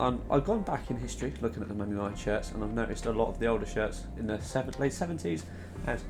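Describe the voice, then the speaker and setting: A quiet man talks at a very fast pace. Music plays in the background. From southern England, Southampton. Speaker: football shirt designer YouTuber. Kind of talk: casual video commentary.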